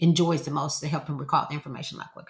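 In a very clean recording with a silent background, a woman speaks somewhat breathily with an American accent. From Texas, Houston. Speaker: educational consultant. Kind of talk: interview.

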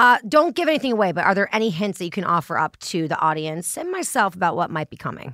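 A woman with a medium pitch and a bright, sharp tone speaks at a very fast pace with hardly any pauses, animated and swinging very widely in pitch, in a very clean recording with a silent background. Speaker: podcast host. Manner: animated, jokey.

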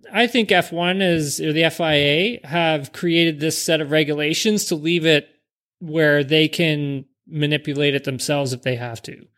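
On a very clean recording with a silent background, a man speaks in a normal speaking voice with a fairly high pitch. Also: ordinary pitch variation, moderate pace. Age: 30s. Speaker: former professional race car driver. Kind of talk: casual chat.

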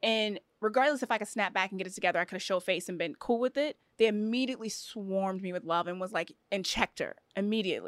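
Words come at a very fast pace with ordinary pitch variation, the sound dry and close with no echo. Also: woman, medium pitch for a woman. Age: 30s. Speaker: professional basketball player. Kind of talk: casual chat.

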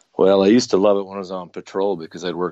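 A man with a very deep, low pitch talks very fast in a flat monotone. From North Dakota. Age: 40s. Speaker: bow hunter and police officer. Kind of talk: casual interview.

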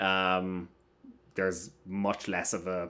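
A man speaks with a southern Irish accent in a very deep, low voice. The recording is very clean, with a silent background. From Ireland, Waterford area (south coast). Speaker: film festival critic. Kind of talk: casual chat.

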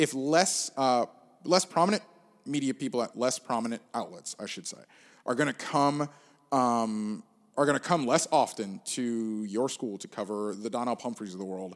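In a very clean recording with a silent background, a man with an American accent uses a normal speaking voice at medium pitch, with lively intonation and a moderate pace. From Gainesville, Florida. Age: 20s. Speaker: sports journalist. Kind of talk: casual chat. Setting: soundproof podcast studio.

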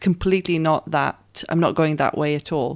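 A woman with a very deep, low pitch, moderate pace and ordinary pitch variation, in a very clean recording with a silent background. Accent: Israeli. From Israel. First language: Hebrew. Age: 30s. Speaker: performance artist. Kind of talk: interview.

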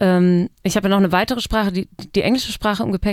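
An unremarkable speaking voice from a woman at medium pitch, with fairly even intonation and a dry, close sound with no echo. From East Frisia, northern Germany. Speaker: musician. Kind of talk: casual chat. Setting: studio.

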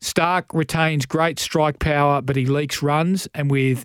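A man speaks in a fairly high pitch with ordinary pitch variation. The recording is very clean with a silent background and a dry, close sound with no echo. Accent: Australian. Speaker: radio host. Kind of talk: sponsored radio segment.

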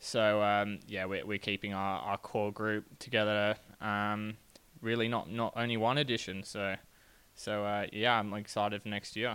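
Bright, sharp tone from a man with an Australian accent, fairly low pitch, monotone, flat intonation and a moderate pace. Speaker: professional cyclist. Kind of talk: interview.

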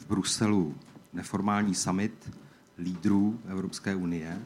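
A man with a Czech accent speaks at a fairly slow pace in a fairly low pitch. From Czech Republic. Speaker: EU official. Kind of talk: opening speech.

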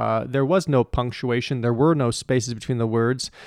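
A man's unremarkable speaking voice at medium pitch and moderate pace, dry and close with no echo, in a very clean recording with a silent background. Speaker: Bible scholar. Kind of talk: scholarly discussion. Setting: studio.

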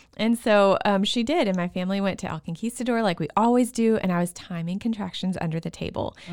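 A very fast delivery in a Texas accent, with hardly any pauses and ordinary pitch variation. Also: woman, medium pitch for a woman. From Texas, Waco. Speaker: stay-at-home mom and childbirth storyteller. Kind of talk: casual interview, personal birth stories.

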